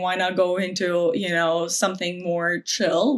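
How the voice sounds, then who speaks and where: A woman's medium-pitched voice with vocal fry. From Ukraine (Kyiv). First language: Ukrainian or Russian. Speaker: sales manager and novelist. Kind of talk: podcast interview. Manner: casual, conversational.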